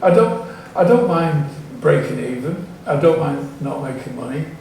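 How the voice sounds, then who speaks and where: Amid audible room echo and noticeable background noise, a man talks at a moderate pace in a fairly high voice. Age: 70s. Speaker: music promoter. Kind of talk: audience Q&A. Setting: stage with audience. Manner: halting.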